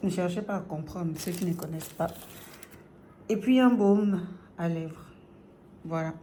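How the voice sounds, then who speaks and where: A woman speaks with a fairly low pitch and ordinary pitch variation. Long, frequent pauses break her speech, and audible room echo is present. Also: fairly slow pace. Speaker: vlogger. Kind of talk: casual vlog. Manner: hesitant, many fillers.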